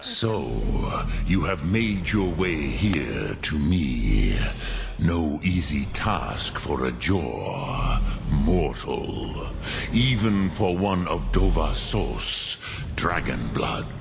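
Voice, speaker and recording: A man puts on a character voice pitched very deep and low. He speaks at a very slow pace over loud background noise. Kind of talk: mystical sage teaching. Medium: machinima. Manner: slow, solemn, measured.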